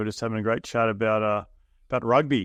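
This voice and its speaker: This man talks at a very fast pace with an Australian accent. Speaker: real estate investor. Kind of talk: interview.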